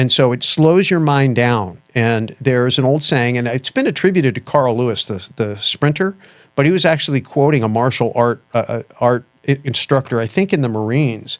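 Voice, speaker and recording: Medium pitch marks this man's voice. He shows ordinary pitch variation. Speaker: investment educator and podcast guest. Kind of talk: interview conversation. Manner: fast; animated.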